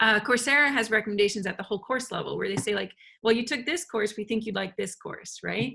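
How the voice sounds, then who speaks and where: A woman with a fairly high pitch speaks at a very fast pace. Vocal fry runs through her voice. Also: ordinary pitch variation. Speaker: software engineer and education technology speaker. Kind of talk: informative talk. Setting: video call. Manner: casual with filler words.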